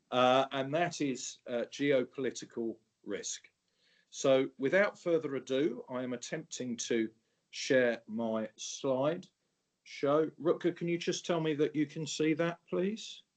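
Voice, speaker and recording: Speech in an English accent comes at a very slow pace. Its pitch variation is ordinary. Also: man, fairly high pitch for a man. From England. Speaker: presenter on geopolitical risk for insurance brokers. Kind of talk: webinar presentation.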